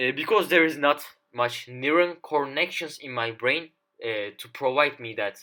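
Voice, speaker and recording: Speech comes at a moderate pace. It carries a non-native accent. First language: not English. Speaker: YouTuber. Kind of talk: casual monologue to camera. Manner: halting, many fillers.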